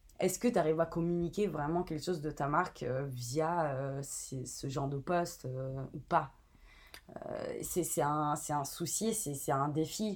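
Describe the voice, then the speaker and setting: Speaking at a fairly slow pace with an Italian accent, a woman with a fairly low pitch is heard in a very clean recording with a silent background. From Italy. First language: Italian (speaking French). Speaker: brand content and community manager. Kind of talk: interview. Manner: casual, with fillers.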